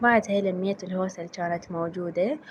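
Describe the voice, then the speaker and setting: A woman speaks with an Iraqi accent. Her pitch is medium and varies in an ordinary way. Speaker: home cleaning and cooking vlogger. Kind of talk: voiceover narration of a cleaning vlog.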